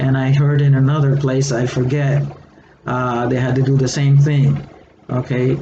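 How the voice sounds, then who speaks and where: In a Puerto Rican accent, a man speaks at a moderate pace and medium pitch with monotone, flat intonation, amid noticeable background noise and audible room echo. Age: 60s. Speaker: retired educator and online seller. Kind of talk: casual vlog monologue. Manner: hesitant, many fillers.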